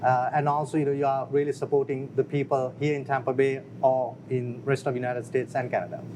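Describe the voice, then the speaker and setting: Against noticeable background noise, a man rattles along at a very fast pace in a medium-pitched, flat monotone with hardly any pauses. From outside the US. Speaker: business founder. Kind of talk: interview. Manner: halting.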